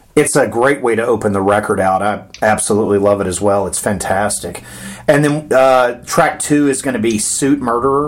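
Amid noticeable background noise, a man of medium pitch speaks in an enthusiastic tone. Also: ordinary pitch variation, moderate pace. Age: 40s. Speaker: podcast host. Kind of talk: interview.

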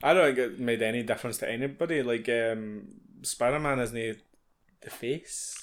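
On a very clean recording with a silent background, a man with a Scottish accent speaks at a moderate pace. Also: medium pitch for a man, ordinary pitch variation. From Scotland. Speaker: podcast co-host. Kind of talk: casual chat.

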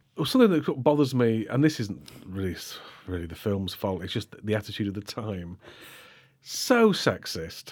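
A man in a British accent talks at a moderate pace and fairly low pitch, with lively intonation and big swings in loudness. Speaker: podcast host. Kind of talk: casual chat. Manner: informal, conversational.

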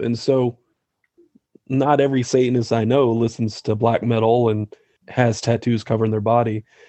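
A man's medium-pitched voice in a flat monotone. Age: 40s. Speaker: artist and shop owner. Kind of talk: interview.

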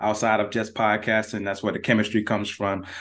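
A man at a fairly low pitch and very fast pace, over a quiet background. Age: 30s. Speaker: sports podcast host. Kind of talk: casual sports talk.

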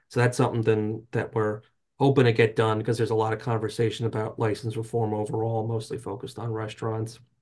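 Against a quiet background, a man with an American accent talks at a very fast pace and medium pitch, somewhat breathy and in a monotone, flat way. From North Jersey, US. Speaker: trade association lobbyist. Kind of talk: interview.

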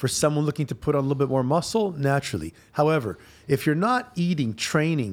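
On a very clean recording with a silent background, a man with a fairly high pitch speaks in a normal speaking voice at a fairly quick pace. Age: 40s. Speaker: fitness trainer and former bodybuilder. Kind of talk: casual chat. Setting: office studio.

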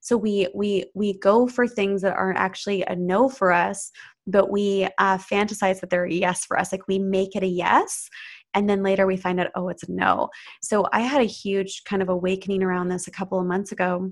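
Speaking at a moderate pace, a woman with an unremarkable speaking voice and a medium pitch keeps her intonation fairly even. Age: 30s. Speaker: spiritual coach. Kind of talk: interview.

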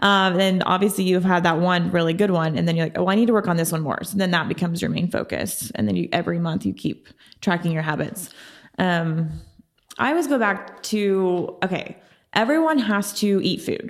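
A woman with an American accent speaks at a medium pitch with ordinary pitch variation. Hers is an unremarkable speaking voice. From Oklahoma City. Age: 30s. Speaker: health and fitness coach. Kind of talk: interview conversation.

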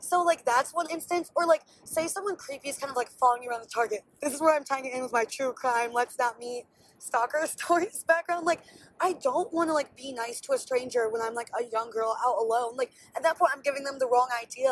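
A woman speaks at a very fast pace in an animated tone. Her voice is high-pitched, with ordinary pitch variation. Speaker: solo podcaster. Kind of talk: casual monologue. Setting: voice memo recording. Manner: chatty.

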